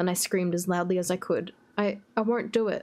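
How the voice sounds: A reading voice that sounds natural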